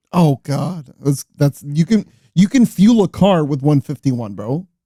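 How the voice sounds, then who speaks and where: A man's fairly high, somewhat breathy voice with a dark, mellow tone, lively intonation and a fairly slow pace. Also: dry, close sound with no echo. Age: 30s. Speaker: podcast co-host. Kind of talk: casual chat. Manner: animated.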